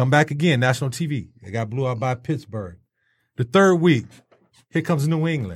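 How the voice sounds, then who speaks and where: A man with a medium-pitched, somewhat breathy voice speaks at a moderate pace with lively intonation and long, frequent pauses, on a very clean recording with a silent background. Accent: American. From Detroit. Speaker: sports talk host. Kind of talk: casual sports talk. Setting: studio.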